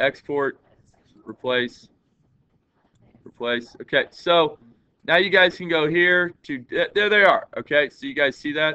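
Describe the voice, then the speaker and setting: Loud and high-pitched, a man speaks at a fairly slow pace with lively intonation and long, frequent pauses. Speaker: teacher. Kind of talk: classroom lesson. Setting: classroom.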